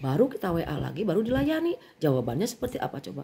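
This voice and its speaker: Speaking at a fairly quick pace, a woman of medium pitch has a dark, mellow tone and sounds somewhat breathy. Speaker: bag seller vlogger. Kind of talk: casual vent to viewers.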